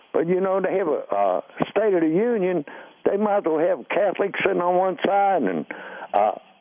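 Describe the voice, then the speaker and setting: A high-pitched man with an American accent at a moderate pace, with ordinary pitch variation, very even loudness, and noticeable background noise. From US Midwest (Cincinnati). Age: 70s. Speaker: caller, retired coal miner. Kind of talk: call-in to radio show. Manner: halting, many fillers.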